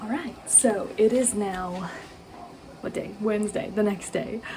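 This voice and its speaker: A woman with a medium-pitched voice speaks at a moderate pace with fairly even intonation, over noticeable background noise and audible room echo. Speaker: homemaker vlogger. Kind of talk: casual vlog narration. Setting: home kitchen. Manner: casual, hesitant with fillers.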